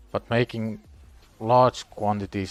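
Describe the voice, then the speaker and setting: Music plays in the background as a man talks at a fairly slow pace. His intonation is monotone and flat. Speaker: gaming livestreamer. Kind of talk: casual livestream chat. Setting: live stream with music playing.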